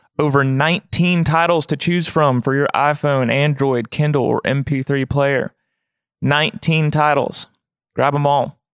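A plain, everyday voice from a man, fairly high in pitch, fairly slow, with fairly even intonation and very even loudness. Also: very clean recording, silent background. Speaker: podcast host and singer-songwriter. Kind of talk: casual interview chat. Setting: studio.

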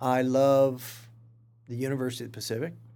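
A man with a Californian accent at a fairly slow pace. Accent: Californian American. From Stockton, California. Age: 50s. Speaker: museum director. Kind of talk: interview.

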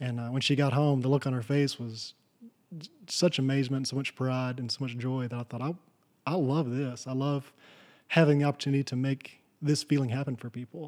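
A man with a West Texas accent talks at a fairly quick pace in a medium pitch, his intonation flat and monotone. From Texas Panhandle. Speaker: rancher and furniture maker. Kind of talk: interview. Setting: in person. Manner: halting, many fillers.

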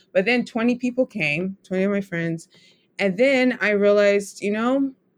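Pitched at a medium level, a woman has an ordinary speaking voice with ordinary pitch variation. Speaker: writer and writing instructor. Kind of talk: interview conversation.

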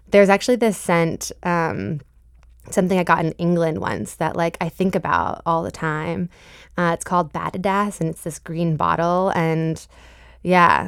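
With an American accent and an ordinary speaking voice, a woman talks at a moderate pace in a fairly low pitch with ordinary pitch variation, on a very clean recording with a silent background. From Boston, Massachusetts (Jamaica Plain). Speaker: singer-songwriter. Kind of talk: radio interview.

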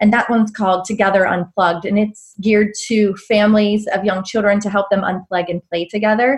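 A somewhat breathy woman's voice at medium pitch, fairly quick and fairly even in intonation, with hardly any pauses. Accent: American. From Pittsburgh area, Pennsylvania. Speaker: business coach and entrepreneur. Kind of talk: casual interview chat.

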